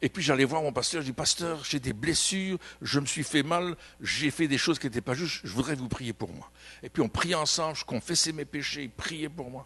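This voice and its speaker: With a bright, sharp tone and big swings in loudness, a man talks at a moderate pace in a fairly high pitch with ordinary pitch variation. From Belgium. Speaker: pastor. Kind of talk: sermon. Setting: church. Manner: animated.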